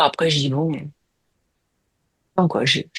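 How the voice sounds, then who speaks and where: The speaker is a woman with a very deep, low voice. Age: 60s. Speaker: hypnosis client. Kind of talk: casual chat. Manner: halting.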